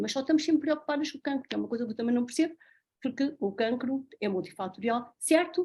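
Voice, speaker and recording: A woman's intonation is lively, and the setting behind her is quiet. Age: 60s. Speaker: doctor. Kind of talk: talk.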